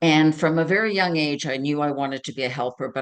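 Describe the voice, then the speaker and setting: Speaking in a Canadian accent, a woman with a very deep, low pitch shows ordinary pitch variation. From Ontario, Canada. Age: 70s. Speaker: career counselor. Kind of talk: interview.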